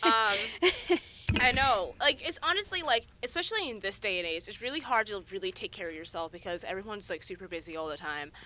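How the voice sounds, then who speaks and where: Over noticeable background noise, the speaker goes very fast with very wide pitch swings and big swings in loudness. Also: woman, medium pitch for a woman. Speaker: student podcast host. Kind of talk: casual chat. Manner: laughs a lot.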